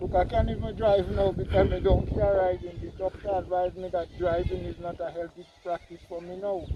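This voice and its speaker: Fast-moving speech from a man with a Grenadian accent, big swings in loudness and noticeable background noise. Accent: Grenadian Creole English. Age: 60s. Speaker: farmer. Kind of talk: interview.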